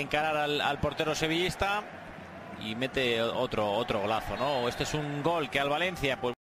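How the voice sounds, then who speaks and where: Noticeable background noise behind a man with a fairly high pitch, at a moderate pace. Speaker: football match commentator. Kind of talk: live sports commentary, co-commentator analysing goals. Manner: conversational, hesitant, repeats words, tag questions.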